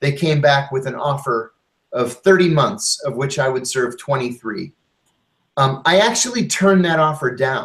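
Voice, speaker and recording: A man speaks in a plain, everyday voice. His pitch is fairly high, with ordinary variation. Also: moderate pace. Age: 50s. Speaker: former intelligence officer and author. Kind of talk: interview testimony.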